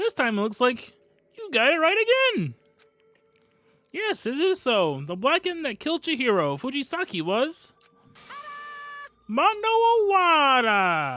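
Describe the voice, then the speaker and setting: This is a put-on character voice at a fairly slow pace. Long pauses break it up often. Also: female-sounding voice, high pitch for a woman. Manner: mischievous, playful.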